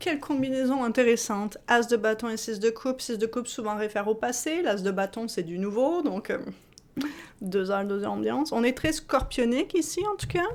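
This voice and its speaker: A woman's animated, fairly high voice with lively intonation, on a very clean recording with a silent background. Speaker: tarot reader. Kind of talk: tarot reading. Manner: fast.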